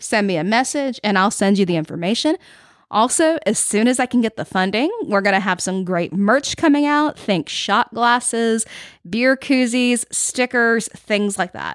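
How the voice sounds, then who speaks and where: With a Southern US accent, a woman speaks at a fairly high pitch and with lively intonation, in a very clean recording with a silent background and a dry, close sound with no echo. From Florida Panhandle, Panama City. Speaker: podcast host and musician. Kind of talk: scripted podcast narration. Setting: home music room or library studio.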